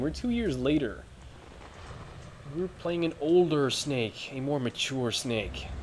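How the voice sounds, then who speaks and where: Ordinary pitch variation runs through this man's voice. He talks at a fairly slow pace. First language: not English. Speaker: gaming video host. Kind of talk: let's play commentary. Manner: casual with hesitations.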